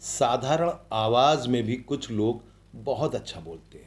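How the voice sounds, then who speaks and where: A man's medium-pitched voice. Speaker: voice-over artist. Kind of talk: interview answer.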